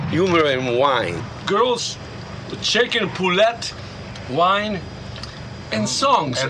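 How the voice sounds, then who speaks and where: A man speaks at a very slow pace with long, frequent pauses, his high voice swinging very widely in pitch. Room echo is audible, and background noise is noticeable. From Italy, Naples. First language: Italian. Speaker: artist and pizza maker. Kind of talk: documentary interview.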